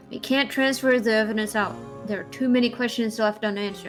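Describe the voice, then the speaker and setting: Backed by music, a woman talks very fast at a fairly high pitch with ordinary pitch variation. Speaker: gamer voicing characters while playing.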